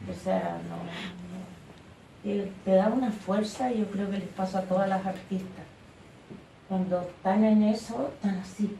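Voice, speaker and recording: A woman of medium pitch talks at a fairly slow pace with long, frequent pauses and fairly even intonation. Audible room echo surrounds her voice. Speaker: artist. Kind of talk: interview.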